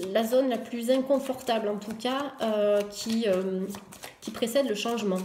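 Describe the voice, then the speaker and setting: A woman speaks with a fairly high pitch and fairly even intonation. There is noticeable background noise and audible room echo. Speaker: tarot reader. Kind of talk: tarot reading video. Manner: fast; hesitant, many fillers.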